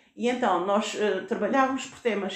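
A woman with a medium-pitched voice speaks amid noticeable background noise and audible room echo. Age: 70s. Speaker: retired teacher, founder of an education association. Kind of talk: interview. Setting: on location at a school. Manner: halting.

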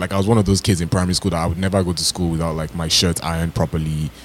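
Over noticeable background noise, a man with a Toronto accent speaks in a very deep, low pitch with an animated tone. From Ontario, Canada (Toronto). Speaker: podcast co-host. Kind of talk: casual chat.

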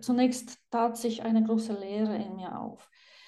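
With a Polish accent, a woman talks at a very slow pace. Her tone is dark and mellow, and her intonation is monotone and flat. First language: Polish (speaking German). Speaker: psychiatrist and author. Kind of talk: interview.

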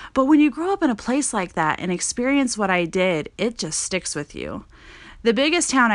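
A woman with an American accent speaks with very wide pitch swings over a quiet background. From Montana. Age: 20s. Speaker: podcast host. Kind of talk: casual monologue. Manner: conversational, filler-heavy.

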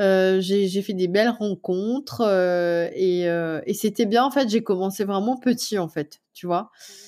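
A woman with a medium-pitched voice talks very slowly, her pitch shifting in an ordinary way. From Mauritius. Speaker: food blogger. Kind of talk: interview.

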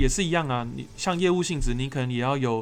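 This man's medium-pitched speech has ordinary pitch variation. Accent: Taiwanese. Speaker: podcast host. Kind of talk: casual chat.

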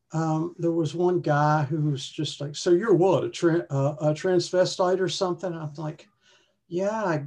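With an American accent, a woman speaks at a moderate pace in a fairly low pitch with ordinary pitch variation, an unremarkable speaking voice. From West Virginia, US. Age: 60s. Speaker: retired hiker. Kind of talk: casual interview chat.

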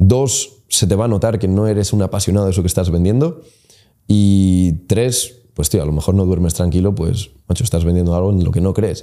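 This man has a very deep, low pitch and a dark, mellow tone, with ordinary pitch variation. He keeps a moderate pace and very even loudness. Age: 20s. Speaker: entrepreneur. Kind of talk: casual interview.

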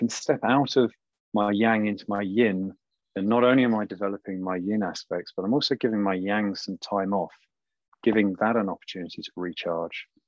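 A man talks fairly quickly with a southern English accent. His pitch is fairly low, with ordinary variation. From southern England, around London. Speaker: somatic coach and sexologist. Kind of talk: podcast interview.

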